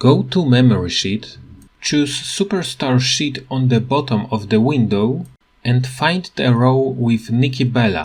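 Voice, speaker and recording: A man with a non-native accent speaks at a medium pitch and a fairly slow pace. His voice is somewhat breathy, with lively intonation. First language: not English. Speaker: gaming tutorial youtuber. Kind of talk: tutorial.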